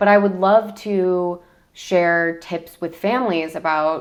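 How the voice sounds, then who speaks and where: A woman of medium pitch talks in a plain, everyday voice with ordinary pitch variation. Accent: American. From US Midwest, Michigan. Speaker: travel content creator. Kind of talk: interview.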